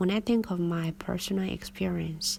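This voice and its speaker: Somewhat breathy and fairly low in pitch, a woman speaks in a Chinese accent with monotone, flat intonation. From China. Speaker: English teacher. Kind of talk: reading aloud.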